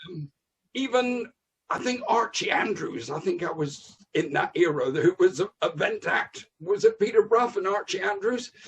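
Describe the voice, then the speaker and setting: At a moderate pace, a man speaks in a high voice that makes very wide pitch swings. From West Country, England. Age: 60s. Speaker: comedian. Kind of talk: casual chat.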